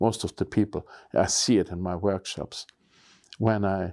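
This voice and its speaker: A man's fairly low voice at a fairly slow pace, fairly even in intonation, dry and close with no echo, on a very clean recording with a silent background. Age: 60s. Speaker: photography YouTuber. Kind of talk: casual vlog talk to camera.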